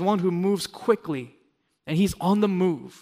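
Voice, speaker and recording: At a moderate pace, a man with an American accent talks in a high voice. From Los Angeles, US. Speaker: pastor. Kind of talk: sermon.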